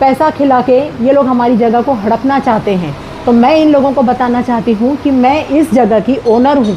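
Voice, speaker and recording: Over noticeable background noise, a woman speaks at a high pitch with very even loudness and hardly any pauses. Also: ordinary pitch variation. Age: 60s. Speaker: retired teacher, property owner speaking to press. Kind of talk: press statement. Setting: speaking to media.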